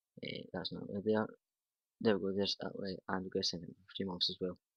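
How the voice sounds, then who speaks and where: Monotone, flat intonation runs through a man's fairly low-pitched speech. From Scotland. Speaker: gaming youtuber. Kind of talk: gameplay commentary. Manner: casual, conversational.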